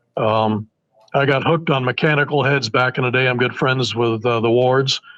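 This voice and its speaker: A man speaks in a plain, everyday voice at medium pitch and a moderate pace. His intonation is fairly even and his loudness very even. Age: 60s. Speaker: broadhead engineer and bowhunter. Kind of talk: casual interview chat.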